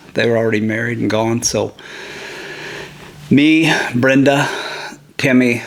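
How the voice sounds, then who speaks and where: Over noticeable background noise, a man with an American accent speaks at a fairly slow pace with fairly even intonation. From Ohio. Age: 60s. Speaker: family elder. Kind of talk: oral history interview. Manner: hesitant with fillers.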